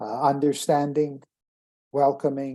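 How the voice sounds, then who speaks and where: In a Montreal accent, a man talks at a very slow pace. His voice sits at a medium pitch with a dark, mellow tone. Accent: Montreal anglophone Canadian English. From Quebec (Montreal). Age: 70s. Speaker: former school board leader. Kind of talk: interview. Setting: video call. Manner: halting.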